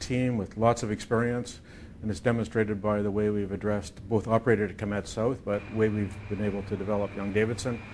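A man talks at a fairly quick pace in a fairly low voice. His intonation is fairly even, with light background noise. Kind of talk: interview answer. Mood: calm, confident. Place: office.

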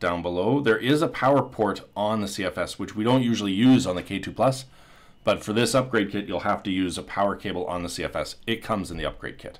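A man speaks at a fairly quick pace in a fairly low voice. His pitch varies in an ordinary way. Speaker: tech YouTuber. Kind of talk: video voiceover. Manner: excited. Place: factory. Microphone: phone near.

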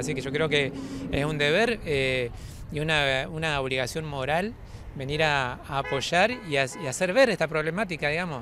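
Recorded in a dry sound with no echo amid noticeable background noise, a man speaks at a moderate pace with a fairly high pitch. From Argentina, Entre Ríos; Argentina. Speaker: local resident at a road protest. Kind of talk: street interview. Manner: halting, many fillers. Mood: concerned, earnest. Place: street.

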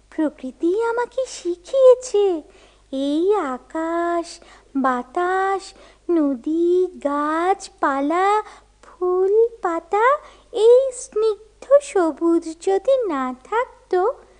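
A cartoonish character voice at an extremely high pitch drags along at a very slow pace. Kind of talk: children's puppet show. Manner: chirpy, repetitive.

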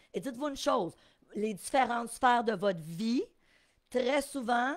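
In a Quebec accent, a woman talks at a fairly slow pace in an animated tone with lively intonation. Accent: Québécois French. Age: 50s. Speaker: real estate investing coach. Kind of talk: live webinar teaching. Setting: live stream.

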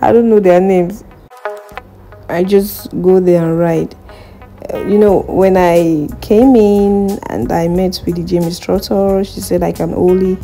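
Fairly slow female speech with ordinary pitch variation and faint music in the background. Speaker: vlogger. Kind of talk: casual vlog chat. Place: gym. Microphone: phone near.

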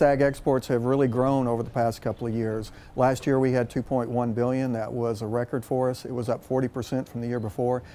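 A man's dark, mellow voice with a West Texas accent, fairly even intonation and a moderate pace. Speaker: agricultural diplomat. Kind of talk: news interview. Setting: on location in Ankara. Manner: halting, many fillers. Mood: calm, informative. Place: garden. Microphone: lapel.

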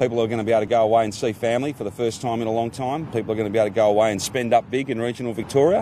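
On a very clean recording with a silent background, a woman speaks with an Australian accent. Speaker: newsreader. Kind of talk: news reading, scripted bulletin read at an even, measured pace. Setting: studio. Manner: slow, clear and formal; steady, neutral and unemotional.

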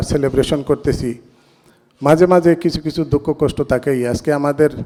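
Using a normal speaking voice, a man talks with fairly even intonation. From Bangladesh. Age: 50s. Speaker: member of a literary society. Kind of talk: speech at an anniversary event.

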